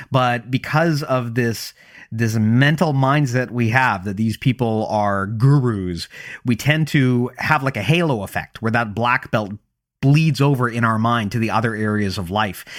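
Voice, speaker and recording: On a very clean recording with a silent background, a man talks fairly slowly in a plain, everyday voice. His pitch is medium, with ordinary pitch variation. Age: 30s. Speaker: podcast host. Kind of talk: panel discussion.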